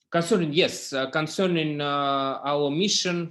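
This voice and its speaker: A man with a non-native accent at a moderate pace, with ordinary pitch variation. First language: not English. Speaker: startup founder. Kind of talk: startup pitch. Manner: halting.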